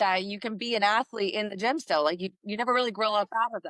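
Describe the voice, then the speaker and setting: At a fairly quick pace, a woman talks at a medium pitch with fairly even intonation. The sound is dry and close, with no echo. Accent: New Jersey. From New Jersey, US. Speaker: fitness coach and entrepreneur, Navy veteran. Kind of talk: podcast interview.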